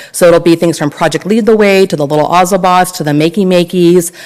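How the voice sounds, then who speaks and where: Over noticeable background noise, a woman talks at a fairly quick pace in a fairly low voice with fairly even intonation. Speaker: school principal. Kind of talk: presentation at a board meeting. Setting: school board meeting. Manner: fast.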